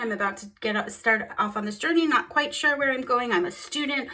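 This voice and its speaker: Speaking at a fairly quick pace, a woman sounds animated, with a fairly high pitch and ordinary pitch variation. Noticeable background noise sits behind her. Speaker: tarot reader. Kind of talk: tarot reading monologue. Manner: fast.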